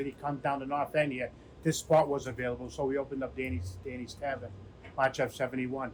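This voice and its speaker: Somewhat breathy and very fast, a man with an American accent speaks at a medium pitch with fairly even intonation. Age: 60s. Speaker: restaurant owner. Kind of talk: interview.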